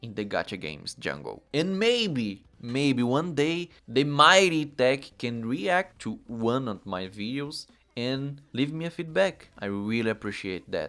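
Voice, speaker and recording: In a Portuguese accent, a man speaks at a medium pitch with very wide pitch swings, fairly slowly, in a bright, sharp tone. The recording is very clean, with a silent background. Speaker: gaming YouTuber. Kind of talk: video commentary.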